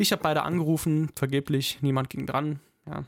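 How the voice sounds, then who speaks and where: A man with a fairly high-pitched voice speaks at a moderate pace. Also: very clean recording, silent background. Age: 20s. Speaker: podcast host. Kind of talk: casual chat.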